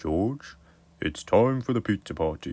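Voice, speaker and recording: A put-on character voice moves at a moderate pace in a very clean recording with a silent background. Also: man. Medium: read story.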